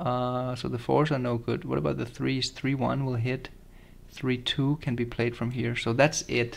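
At a fairly slow pace, a man with a medium pitch speaks with vocal fry and little pitch movement.

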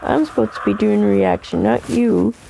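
A woman talks at a fairly slow pace while noticeable background noise runs behind her. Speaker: YouTuber. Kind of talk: reaction video. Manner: animated.

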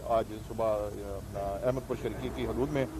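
A man speaks in a dry recording with no echo, and the background noise is noticeable. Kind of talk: press statement. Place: street. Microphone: handheld.

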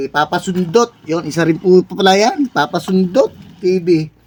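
A man's ordinary speaking voice at a fairly slow pace, with ordinary pitch variation. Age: 50s. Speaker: overseas Filipino worker vlogger. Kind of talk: casual vlog while exercising. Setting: bedroom.

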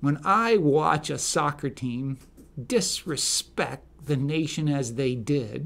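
This voice has a bright, sharp tone and a very slow pace. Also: man. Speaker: political commentator. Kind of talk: opinion monologue commentary. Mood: indignant, opinionated. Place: studio. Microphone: studio mic.

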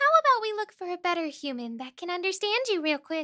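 A cartoonish character voice rattles along at a fairly quick pace in an extremely high pitch. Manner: dry, doubtful, respectful.

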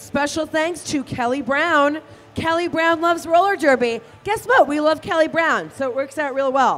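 Her voice high in pitch, a woman talks at a moderate pace with ordinary pitch variation. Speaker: roller derby commentator. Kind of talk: live roller derby commentary with sponsor reads. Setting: live arena event. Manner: animated, chatty and playful, explains rules. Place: hall.

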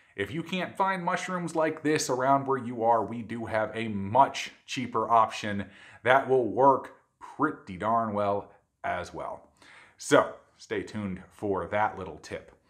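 Lively intonation and big swings in loudness at a fairly slow pace, over a quiet background. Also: man. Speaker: cooking channel host. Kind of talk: cooking show intro.

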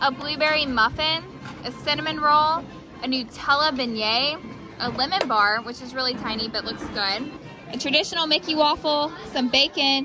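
Over clear music in the background, a raised, projected voice speaks at a moderate pace with ordinary pitch variation in a dry sound with no echo. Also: woman. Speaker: food vlogger. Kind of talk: casual vlog food review. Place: cafe. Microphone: phone near.

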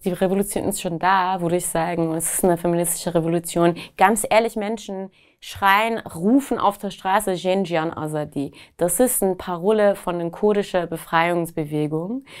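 Against a quiet background, a woman with a Persian accent talks at a moderate pace in a fairly low pitch with ordinary pitch variation. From Iran, Tehran. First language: Persian (speaking German). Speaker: activist and writer. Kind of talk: interview answers. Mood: earnest, engaged. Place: studio.

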